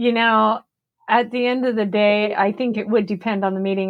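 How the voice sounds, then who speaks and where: With a normal speaking voice, a woman talks at a moderate pace using fairly even intonation. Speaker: podcast co-host. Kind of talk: casual chat.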